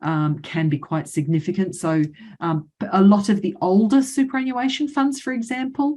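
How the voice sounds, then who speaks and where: A woman speaks with an Australian accent in a dark, mellow, somewhat breathy tone. Her intonation is lively, and the background is quiet. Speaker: financial adviser. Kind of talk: webinar presentation. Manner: fast; hesitant fillers.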